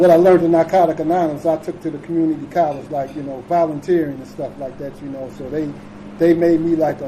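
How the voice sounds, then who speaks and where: A man speaks at a very fast pace in a monotone, flat delivery. Noticeable background noise runs underneath. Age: 60s. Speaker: recovery speaker. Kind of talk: recovery share talk. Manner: halting with many fillers.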